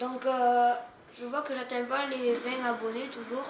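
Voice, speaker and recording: Over noticeable background noise and with audible room echo, a woman talks at a very slow pace with a high pitch. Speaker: gaming youtuber. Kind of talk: gameplay commentary. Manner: casual, hesitant.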